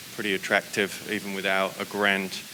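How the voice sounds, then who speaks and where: A man speaks with a fairly low pitch. Noticeable background noise sits behind him. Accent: British. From UK. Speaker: solar company founder. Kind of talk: webinar presentation. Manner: hesitant, many fillers.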